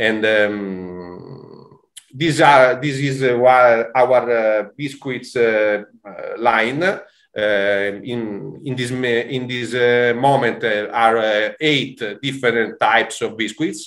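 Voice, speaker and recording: Speaking in an Italian accent, a man talks very slowly with hardly any pauses. His pitch is medium, with ordinary variation. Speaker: food producer representative. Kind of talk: webinar presentation. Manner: halting.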